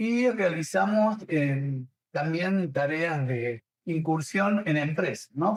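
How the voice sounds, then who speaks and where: Speaking very slowly, a man uses a fairly high pitch that varies in an ordinary way. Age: 70s. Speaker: coaching school director and trainer. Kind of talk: interview.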